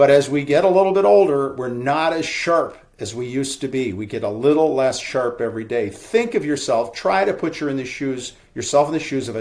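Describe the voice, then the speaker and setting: An ordinary speaking voice at a fairly quick pace. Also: man. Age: 60s. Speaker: real estate broker. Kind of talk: webinar presentation. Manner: casual, conversational.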